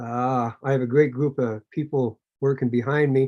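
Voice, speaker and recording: The sound is dry and close, with no echo. A man with a Canadian accent speaks in a dark, mellow tone. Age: 60s. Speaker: activist chapter leader. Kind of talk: video call interview.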